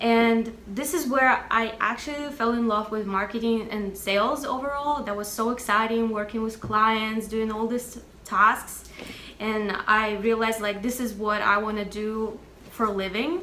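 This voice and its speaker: A woman with a fairly high pitch speaks at a fairly slow pace with fairly even intonation. Noticeable background noise and audible room echo fill the recording. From Russia. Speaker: music marketing professional and singer-songwriter. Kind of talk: interview.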